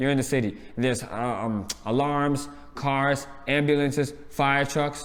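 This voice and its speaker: A man's fairly high voice, animated and fairly slow, with very even loudness and audible room echo. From New York. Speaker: reality TV reviewer. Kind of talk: casual chat.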